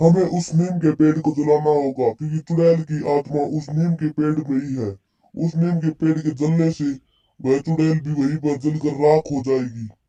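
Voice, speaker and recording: A put-on character voice comes at a moderate pace with fairly even intonation and a dry, close sound with no echo. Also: man, fairly high pitch for a man. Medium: read story. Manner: grave, commanding.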